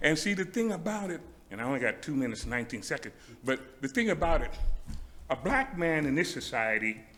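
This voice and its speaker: Pitched fairly high, a man speaks very fast with very wide pitch swings and long, frequent pauses. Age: 70s. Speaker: public commenter at city council meeting. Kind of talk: public comment speech. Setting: city council meeting chamber. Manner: halting.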